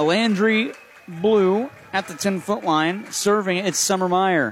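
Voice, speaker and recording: There's noticeable background noise as a man talks in an excited tone. His pitch varies in an ordinary way. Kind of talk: live play-by-play commentary. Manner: rapid-fire, excited, quick score-calling; self-correcting on the fly.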